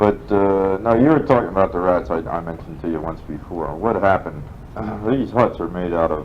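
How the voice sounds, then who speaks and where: A man with an American accent, very deep, low pitch, ordinary pitch variation and a fairly quick pace, over noticeable background noise. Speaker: war veteran. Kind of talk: interview answer. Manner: casual, rambling.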